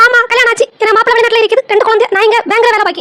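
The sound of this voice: A woman's squeaky, cartoonish character voice, extremely high and monotone, very fast, with a dry, close sound and no echo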